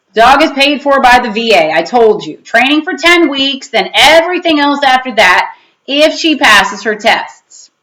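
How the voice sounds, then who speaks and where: Putting on a growling character voice at a high pitch, a woman speaks at a moderate pace with very wide pitch swings and hardly any pauses. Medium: read story.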